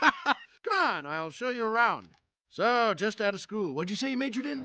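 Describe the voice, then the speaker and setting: A man performs a cartoonish character voice. Its pitch is extremely high. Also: moderate pace. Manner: blustery, brash.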